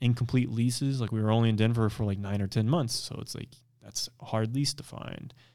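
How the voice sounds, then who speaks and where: With an American accent, a man speaks in an unremarkable speaking voice at medium pitch and with fairly even intonation. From Missouri (Springfield). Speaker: bodybuilder. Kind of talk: casual chat.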